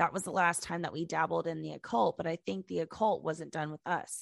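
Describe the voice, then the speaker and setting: A woman with a fairly low pitch and vocal fry talks at a fairly quick pace, recorded with a dry, close sound, no echo and a quiet background. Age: 20s. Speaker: podcast co-host. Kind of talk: reading listener stories aloud. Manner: casual, laughing.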